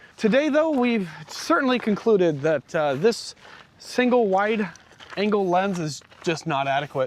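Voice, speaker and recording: With noticeable background noise behind him, a man speaks loudly and fairly slowly at a high pitch, his voice making very wide pitch swings. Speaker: RV vlogger. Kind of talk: casual chat. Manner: animated.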